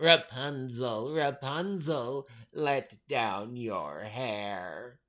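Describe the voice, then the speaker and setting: A man's put-on character voice at medium pitch and a very slow pace. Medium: read story. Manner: commanding.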